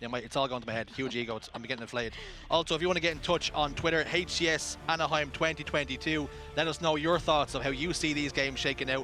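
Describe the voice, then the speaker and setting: With an Irish accent, the speaker talks at a very fast pace in an animated tone with ordinary pitch variation while music plays in the background. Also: man, fairly high pitch for a man. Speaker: esports caster. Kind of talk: live commentary.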